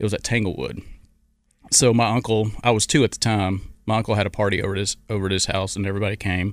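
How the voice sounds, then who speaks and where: A man with a fairly low pitch and an Arkansas accent talks at a very fast pace. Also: fairly even intonation. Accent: US Southern (Arkansas). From Arkansas, Little Rock area. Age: 50s. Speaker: former pro golfer. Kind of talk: interview.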